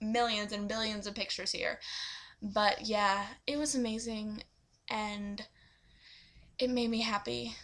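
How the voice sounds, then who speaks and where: An animated tone carried by ordinary pitch variation. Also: woman. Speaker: vlogger. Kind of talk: casual vlog. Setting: webcam recording.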